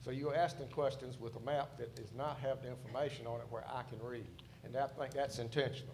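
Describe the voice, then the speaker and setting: A man of medium pitch speaks at a fairly quick pace, somewhat breathy, with monotone, flat intonation. Audible room echo is present. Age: 70s. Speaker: site designer witness. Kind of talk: hearing testimony.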